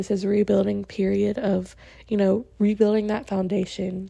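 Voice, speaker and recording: A woman with a medium pitch. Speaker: podcast host. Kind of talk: solo casual monologue.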